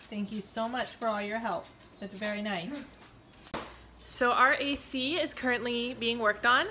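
Noticeable background noise sits under a woman's moderate-paced speech. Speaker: family vlogger. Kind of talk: casual vlog chat. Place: home room. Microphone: phone near.

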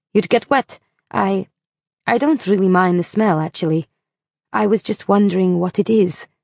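A woman puts on a raspy character voice at medium pitch. She keeps a moderate pace with long, frequent pauses. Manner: polite, careful, awkward.

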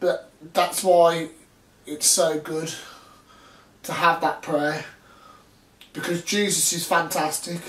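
Very slowly and in a flat monotone, a man speaks with a high-pitched voice while audible room echo surrounds him. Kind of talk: casual vlog chat. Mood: warm, earnest. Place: home room. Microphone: camera far.

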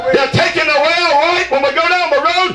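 In a raised, projected voice, the speaker moves at a fairly quick pace with fairly even intonation, with audible room echo and light background noise. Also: man. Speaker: preacher. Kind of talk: revival sermon. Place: tent.

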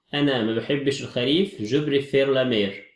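A man with an Egyptian accent, fairly high in pitch with ordinary variation, at a moderate pace amid audible room echo. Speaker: French teacher. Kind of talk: lecture.

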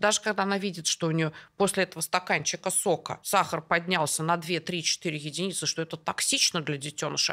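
A fairly low-pitched woman's voice, bright and sharp in tone and animated, at a fairly quick pace against a quiet background. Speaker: endocrinologist guest. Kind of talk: casual chat between doctors. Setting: studio. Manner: animated, talkative. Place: studio. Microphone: studio mic.

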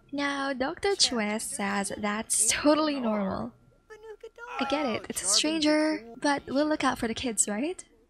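The speech moves at a fairly slow pace with ordinary pitch variation. There is noticeable background noise. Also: woman. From Philippines. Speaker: gaming YouTuber. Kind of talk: let's play narration. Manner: animated.

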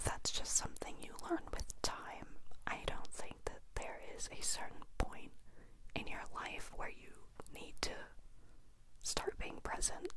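Whispering and soft-spoken, a woman talks at a fairly slow pace over loud background noise. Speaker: vlogger. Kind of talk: casual vlog chat. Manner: soft close-mic whisper. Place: home room. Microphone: handheld.

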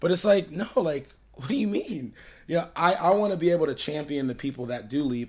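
A man's lively intonation with an American accent. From Florida. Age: 20s. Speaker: podcast host interviewing a musician. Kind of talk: casual interview chat. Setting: living room. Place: home room. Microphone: studio mic.

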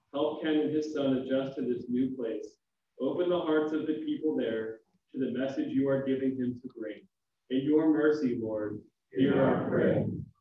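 At a moderate pace, the speaker talks with audible room echo. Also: man, medium pitch for a man, ordinary pitch variation.

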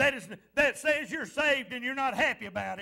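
Over a quiet background, a man speaks at a moderate pace in an animated tone, his pitch extremely high for a man. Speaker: pastor. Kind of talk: fervent revival-style sermon with call-and-response to the congregation. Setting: church. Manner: exhorting and animated, punctuating lines with repeated amens; playful teasing of the congregation to draw responses. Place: church.

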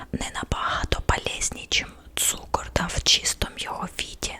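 A woman whispering at a moderate pace, with noticeable background noise. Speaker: ASMR creator. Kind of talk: ASMR whisper chat to the audience. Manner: whispered, soft-spoken.

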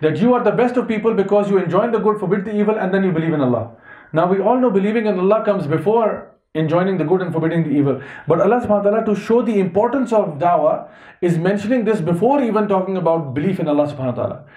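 Talking very fast, this man has a high-pitched voice, with audible room echo and a quiet background. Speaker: religious teacher. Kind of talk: lecture. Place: home room. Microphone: headset.

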